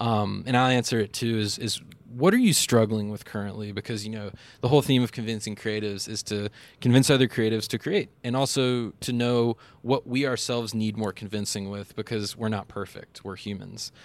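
A man's unremarkable speaking voice with fairly even intonation. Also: medium pitch for a man, fairly quick pace, very clean recording, silent background. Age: 20s. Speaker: filmmaker and podcast host. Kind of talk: casual interview. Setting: outdoors.

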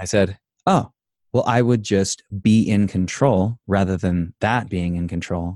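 In an ordinary speaking voice, a man with a fairly low pitch talks at a fairly slow pace with fairly even intonation. The sound is dry and close, with no echo. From Idaho, US. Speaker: life coach and inspirational speaker. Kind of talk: casual interview.

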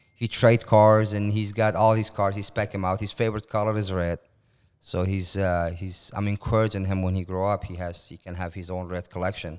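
With an Iranian accent, a man speaks fairly quickly at a fairly low pitch, his intonation monotone and flat. The recording is very clean, with a silent background. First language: Persian. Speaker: car collector. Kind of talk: casual interview chat. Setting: garage man cave.

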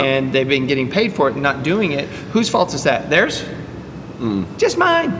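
Amid noticeable background noise and audible room echo, a man with an American accent and a fairly high pitch talks at a fairly quick pace. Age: 50s. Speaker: podcast host and dentist. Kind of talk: casual chat. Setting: CrossFit gym.

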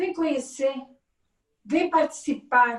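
A woman is speaking at a fairly slow pace. Her pitch variation is ordinary. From Minas Gerais, Brazil. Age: 60s. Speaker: candomblé priestess. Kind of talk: interview.

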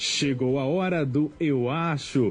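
A somewhat breathy man's voice of fairly high pitch with ordinary pitch variation. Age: young. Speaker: young radio journalist. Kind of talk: radio segment presentation.

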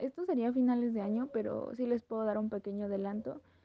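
Rather quick speech from a woman, pitched high. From Mexico. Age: 20s. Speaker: podcaster and influencer. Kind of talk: casual interview.

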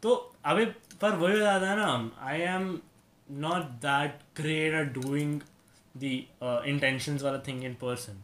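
This man has a normal speaking voice with a fairly high pitch and lively intonation. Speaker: podcast host. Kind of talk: casual chat.

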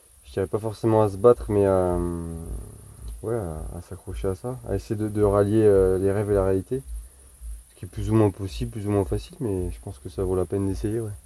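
Fairly quick speech in a dark, mellow tone, with ordinary pitch variation. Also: man. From Charente, western France. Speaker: farrier. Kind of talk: casual chat.

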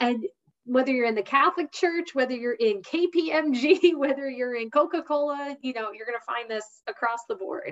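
A woman's high-pitched, animated voice at a moderate pace, with lively intonation and big swings in loudness. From US Northeast, New Jersey. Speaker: leadership program coordinator. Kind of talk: interview. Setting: video call.

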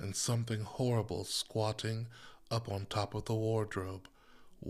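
Fairly level intonation in plain reading aloud

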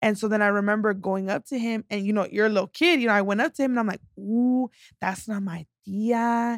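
The woman talks at a fairly quick pace with ordinary pitch variation. The sound is dry and close, with no echo. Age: 20s. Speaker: podcast guest, self-care business owner. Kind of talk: casual chat.

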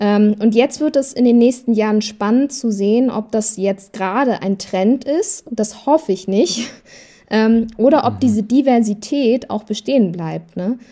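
A woman with a fairly high pitch and a dark, mellow tone speaks at a moderate pace, with ordinary pitch variation. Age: 30s. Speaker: talent manager for influencers. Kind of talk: casual chat.

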